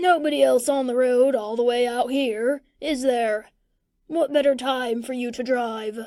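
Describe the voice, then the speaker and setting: A woman uses a put-on character voice pitched high. She speaks at a moderate pace. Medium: read story. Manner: gruff, mild.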